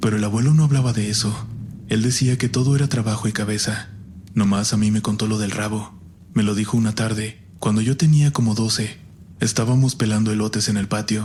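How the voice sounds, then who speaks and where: A man speaks with an ordinary speaking voice, fairly low in pitch, at a fairly quick pace and with fairly even intonation. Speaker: horror story narrator. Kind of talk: horror story narration.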